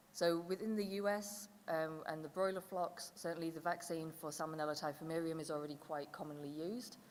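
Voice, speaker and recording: Speaking fairly quickly in a fairly low pitch with ordinary pitch variation, a woman is heard with audible room echo. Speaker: conference presenter. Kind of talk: conference presentation. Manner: loud.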